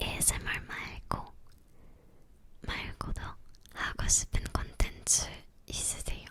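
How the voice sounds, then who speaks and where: Whispering at a very slow pace, the speaker uses a non-native accent. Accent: non-native Korean, self-taught learner. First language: Romanian (speaking Korean). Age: 20s. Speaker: ASMR YouTuber. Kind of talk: casual Q&A chat. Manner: halting, searching for words.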